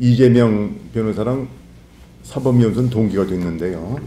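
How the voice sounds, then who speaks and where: There is audible room echo here. It carries a man's voice. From Korea, North Chungcheong. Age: 60s. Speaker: lawyer and political candidate. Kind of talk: interview. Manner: formal.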